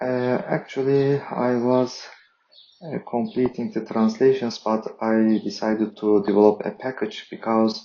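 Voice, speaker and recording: A man with a non-native accent, medium in pitch, flat and monotone at a very slow pace. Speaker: software developer. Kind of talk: tutorial. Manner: halting, many fillers.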